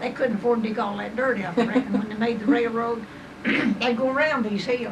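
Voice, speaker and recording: With a Southern Appalachian accent, a woman talks at a moderate pace in a fairly high pitch over noticeable background noise. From East Tennessee. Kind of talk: oral history interview answer. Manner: rambling, halting storytelling.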